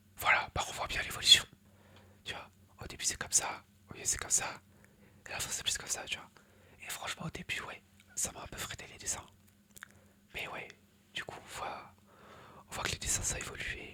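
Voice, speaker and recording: Whispering at a fairly quick pace, a man leaves long, frequent pauses, and his loudness swings widely. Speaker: ASMR content creator. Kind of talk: casual talk to camera, ASMR presentation. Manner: whispered, soft-spoken.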